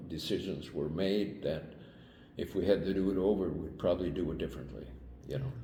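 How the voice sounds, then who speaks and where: A man's very deep, low voice with vocal fry and a dark, mellow tone, at a moderate pace amid audible room echo. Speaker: Vietnam-era military veteran. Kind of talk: interview. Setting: on camera interview. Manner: halting, with many fillers.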